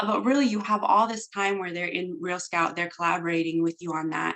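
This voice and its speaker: A woman of medium pitch speaks with ordinary pitch variation. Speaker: real estate software trainer. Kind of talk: training presentation. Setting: recorded video call.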